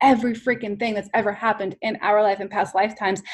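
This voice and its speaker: A woman's voice at a medium pitch, with ordinary pitch variation and an American accent. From New York. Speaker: business coach. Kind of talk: interview. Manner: animated.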